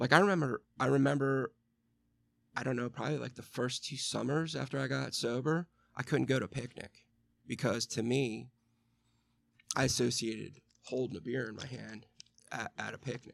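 Long, frequent pauses break up a man's moderate pace, his medium-pitched voice showing vocal fry. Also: ordinary pitch variation. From Western Pennsylvania. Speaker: recovering alcoholic. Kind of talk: interview.

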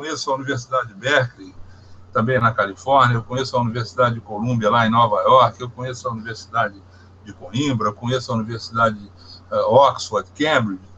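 A man with an unremarkable speaking voice talks fairly quickly at a medium pitch, his intonation fairly even but his loudness swinging widely. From Minas Gerais, Brazil (Barbacena). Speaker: hydropower engineer. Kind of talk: interview.

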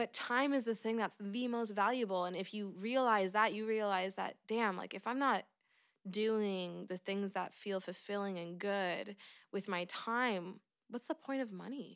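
With an American accent, a woman speaks at medium pitch with ordinary pitch variation. The recording is very clean, and the background is silent. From US, Oregon. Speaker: singer-songwriter and music teacher. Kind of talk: casual interview chat.

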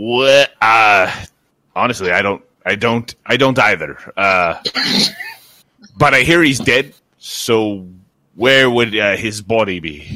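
A man puts on a gruff character voice at medium pitch. He goes at a very slow pace with long, frequent pauses. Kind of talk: tabletop in-character roleplay. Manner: gruff, blunt, aggressive tone.

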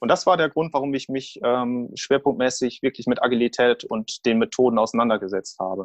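A medium-pitched man speaks fairly quickly with hardly any pauses and ordinary pitch variation, in a dry, close sound with no echo. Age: 30s. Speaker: project manager. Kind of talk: interview. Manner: halting.

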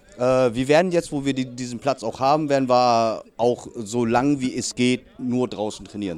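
A man's voice at medium pitch. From northern Germany (Lower Saxony, then Hamburg). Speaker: youth American football coach. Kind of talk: interview. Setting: outdoors at a training session.

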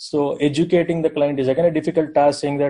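A man with an Indian accent at a very fast pace, fairly high-pitched yet dark and mellow in tone. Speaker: software architect and company founder. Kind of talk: group discussion.

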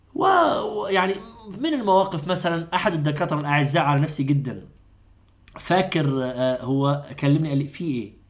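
Ordinary pitch variation shapes speech delivered at a moderate pace. Audible room echo is present. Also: man, fairly high pitch for a man. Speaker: doctor and Islamic preacher. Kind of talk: long-form interview. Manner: animated.

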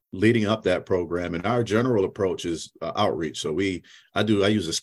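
In a plain, everyday voice, a man speaks with an American accent at a fairly quick pace. The recording is very clean, with a silent background. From Syracuse, New York. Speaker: aviation education program manager. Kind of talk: interview.

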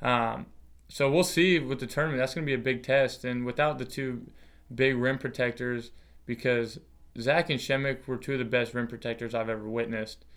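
A man with an American accent and an unremarkable speaking voice talks at a fairly quick pace and medium pitch, with fairly even intonation, on a very clean recording with a silent background. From Washington state, US Pacific Northwest (Longview). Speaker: former college basketball player. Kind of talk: casual chat.

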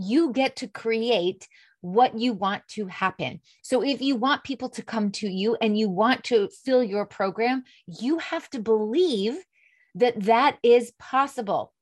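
In an ordinary speaking voice with fairly high pitch, a woman talks fairly slowly, her intonation lively. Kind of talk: pep talk. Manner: warm, encouraging, upbeat; coaxing, direct address.

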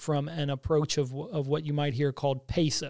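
A man speaks with an American accent at a fairly high pitch. His tone is dark and mellow. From Missouri, US Midwest. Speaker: state tourism director. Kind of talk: interview.

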